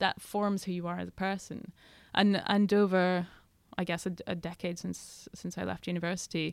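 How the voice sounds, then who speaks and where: On a very clean recording with a silent background, a woman talks at medium pitch and a moderate pace in a Scottish Highland accent. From Scottish Highlands. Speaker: journalist and author. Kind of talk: interview.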